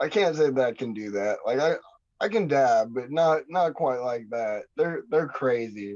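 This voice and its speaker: Lively intonation from a man with an American accent, dark and mellow in tone, at a fairly slow pace. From Montana, Kalispell. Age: 30s. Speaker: underground rapper. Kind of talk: casual chat.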